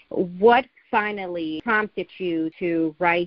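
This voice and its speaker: A woman speaks in a normal speaking voice at a fairly low pitch. Her intonation is fairly even. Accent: American. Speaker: podcast host. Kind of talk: interview.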